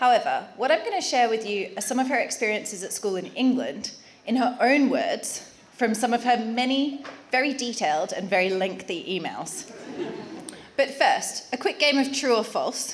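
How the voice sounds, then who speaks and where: The speaker, with an Australian accent, talks at a moderate pace with very wide pitch swings. Audible room echo and noticeable background noise are present. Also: woman, high pitch for a woman. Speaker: wedding speaker. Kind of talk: wedding speech.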